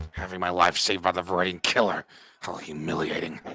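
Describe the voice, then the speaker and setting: Putting on a character voice, a man rasps out words at a very fast pace in a very deep, low pitch with monotone, flat intonation. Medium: virtual streamer. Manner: indignant, pompous.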